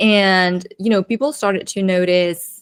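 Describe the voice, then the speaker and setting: Here a woman talks at a medium pitch. Behind her is a silent background in a very clean recording. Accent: non-native. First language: not English. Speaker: marketing strategist and coach. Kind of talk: podcast interview.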